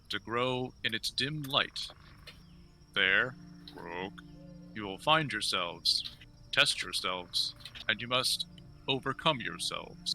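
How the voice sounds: A man puts on a croaky character voice at a medium pitch, speaking at a fairly slow pace. Clear background noise runs behind him.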